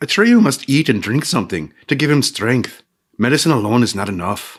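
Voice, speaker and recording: A man uses a rumbling, put-on character voice at medium pitch and moderate pace, in a very clean recording with a silent background. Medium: read story. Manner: snappish, grumbling, bossy.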